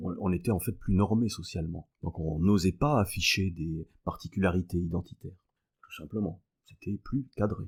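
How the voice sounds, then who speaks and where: At a moderate pace, a man speaks in a very deep, low, somewhat breathy voice with ordinary pitch variation. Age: 60s. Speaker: mathematics professor. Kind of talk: podcast interview. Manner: hesitant, many filler sounds.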